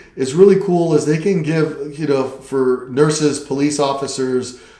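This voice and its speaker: A man speaks at a fairly slow pace with a fairly high pitch and ordinary pitch variation, with noticeable background noise and audible room echo. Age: 60s. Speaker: real estate agent. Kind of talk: casual chat. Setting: office.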